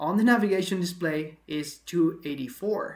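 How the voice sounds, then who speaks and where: A woman's fairly low, fairly slow voice with a non-native accent. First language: not English. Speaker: aviation video host. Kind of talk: analysis commentary. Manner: conversational, with fillers.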